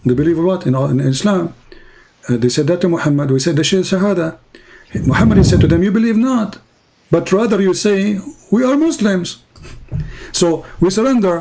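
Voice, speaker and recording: A man speaks at a high pitch with lively intonation and a moderate pace. There is noticeable noise in the background. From Middle East. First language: Arabic. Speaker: religious debater. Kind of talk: online call-in debate. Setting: online voice chat.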